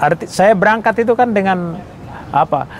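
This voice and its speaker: A man with a Papuan accent at a fairly quick pace, amid noticeable background noise. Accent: Papuan Indonesian. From Papua, Indonesia (Serui, Yapen islands). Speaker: retired army general. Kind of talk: interview testimony.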